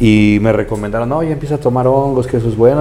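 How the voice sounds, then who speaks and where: Speaking at a very fast pace, a man keeps fairly even intonation. His tone is dark and mellow. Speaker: podcast host. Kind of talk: casual chat.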